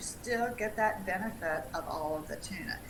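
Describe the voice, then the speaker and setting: A woman talks with lively intonation and a slight Southern US accent. Room echo is audible, and there is noticeable background noise. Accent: slight Southern twang. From US South, Tennessee. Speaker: dietitian. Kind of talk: live webinar Q&A, informative chat.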